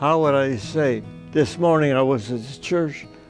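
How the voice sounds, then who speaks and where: A man at a very slow pace with ordinary pitch variation, music in the background. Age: 80s+. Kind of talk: interview answer.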